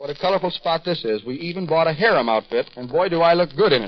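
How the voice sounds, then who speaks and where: A man speaks in a warm tone with a fairly high voice. His intonation is lively. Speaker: radio game show master of ceremonies. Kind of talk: live radio show hosting with interviews. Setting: hotel venue with live audience. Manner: warm, jovial and teasing. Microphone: old recording.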